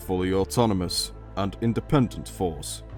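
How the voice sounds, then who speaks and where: With a British accent and a very deep, low pitch, a man speaks at a moderate pace over music in the background. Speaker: lore video narrator. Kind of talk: educational lore narration.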